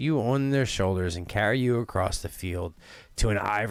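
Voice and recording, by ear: In a natural voice, someone reads text aloud.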